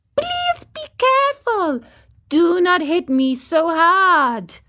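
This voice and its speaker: Using a put-on character voice, a woman squeaks at an extremely high pitch with very wide pitch swings and a very slow pace. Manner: beseeching, pleading.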